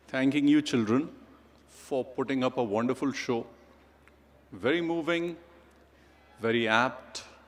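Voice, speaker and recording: A man speaks with a Pakistani accent. His pitch variation is ordinary. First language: Urdu. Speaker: chief guest speaker. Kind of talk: ceremonial speech.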